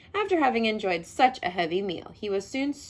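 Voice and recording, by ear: Lively intonation in a natural voice reading aloud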